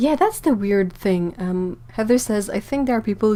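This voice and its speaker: A woman speaks at a moderate pace with ordinary pitch variation. Her tone is dark and mellow. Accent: non-native. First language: French. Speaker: artist and YouTuber. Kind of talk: casual livestream chat. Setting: livestream. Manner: halting.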